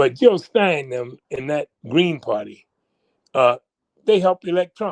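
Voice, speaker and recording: The speech moves at a fairly slow pace with lively intonation, broken by long, frequent pauses. The sound is dry and close, with no echo. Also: man, high pitch for a man. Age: 80s+. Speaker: public intellectual and activist. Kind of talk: heated debate. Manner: animated.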